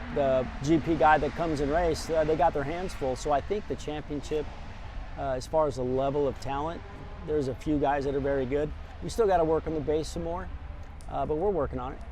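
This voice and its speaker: A fairly high-pitched man with an American accent, fairly quick and fairly even in intonation, over noticeable background noise. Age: 60s. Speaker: retired motorcycle racing champion. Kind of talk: interview answer.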